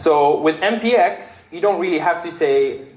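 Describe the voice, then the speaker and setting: Audible room echo surrounds a man's voice. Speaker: software developer giving a tech talk. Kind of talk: meetup tech talk with live coding demo. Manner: loud; casual, filler-heavy and animated.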